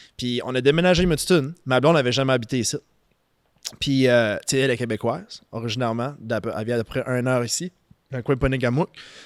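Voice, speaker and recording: Through a dry, close sound with no echo and a very clean recording with a silent background, a man speaks very fast at medium pitch with ordinary pitch variation. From southeastern New Brunswick, Canada (Saint-Antoine, Acadian area). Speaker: financial services business owner. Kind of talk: casual podcast interview. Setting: studio.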